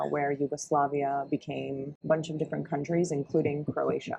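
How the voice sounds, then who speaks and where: In a Canadian accent, a woman speaks at a moderate pace in a very deep, low voice, over noticeable background noise. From Canada, Ontario (small town near Barrie). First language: Croatian. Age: 30s. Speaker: travel vlogger. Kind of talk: casual chat.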